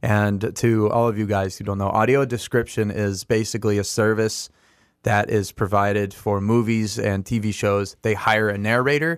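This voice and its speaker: A man talks at a moderate pace in a normal speaking voice, fairly low in pitch, with fairly even intonation. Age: 20s. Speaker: blind musician. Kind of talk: casual chat. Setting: studio.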